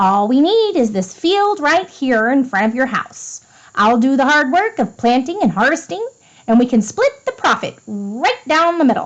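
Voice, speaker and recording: Put-on character voice from a woman, high-pitched with very wide pitch swings, at a moderate pace. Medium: read story. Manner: smooth, persuasive.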